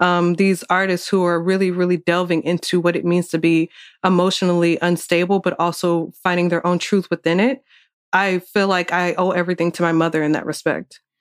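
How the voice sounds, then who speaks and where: With an American accent, the delivery is monotone and flat at very even loudness. The recording is very clean with a silent background, and the sound is dry and close with no echo. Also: woman, fairly low pitch for a woman, fairly quick pace. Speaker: music journalist. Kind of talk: interview. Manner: hesitant, many fillers.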